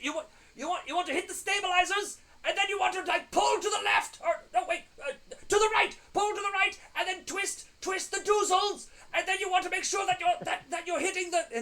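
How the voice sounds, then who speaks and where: A man speaks at a fairly quick pace in a put-on character voice. His pitch is extremely high. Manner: rapid, frantic, rambling.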